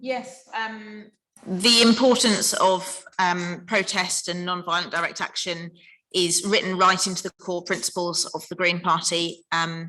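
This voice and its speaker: This woman has an RP accent. She speaks at a fairly slow pace with fairly even intonation. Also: medium pitch for a woman. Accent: very RP. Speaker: Green Party politician. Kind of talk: panel discussion. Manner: hesitant, with fillers.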